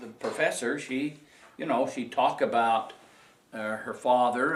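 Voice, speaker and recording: Audible room echo surrounds a speaker with a Utah accent. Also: man. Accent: western US (Utah). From Utah, Salt Lake City. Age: 70s. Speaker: oral history interviewee. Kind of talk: oral history interview. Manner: halting, many fillers.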